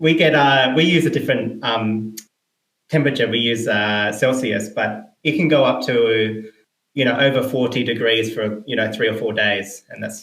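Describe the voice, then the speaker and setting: With an Australian accent, a man speaks at a moderate pace. His pitch is medium, with ordinary variation. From South Australia. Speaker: indie game developer. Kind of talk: interview.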